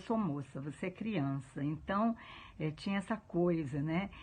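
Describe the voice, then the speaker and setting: Somewhat breathy, a woman speaks at a fairly slow pace with a fairly low pitch. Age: 70s. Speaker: interviewee. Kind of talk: testimony.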